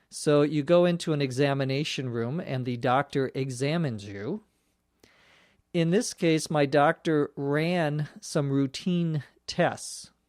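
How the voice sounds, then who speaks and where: A man with a Minnesota accent at a fairly high pitch, speaking at a fairly slow pace with ordinary pitch variation, on a very clean recording with a silent background. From Minnesota, US Midwest. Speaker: English teacher. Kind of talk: language lesson explanation. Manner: clear, explanatory, spells out words.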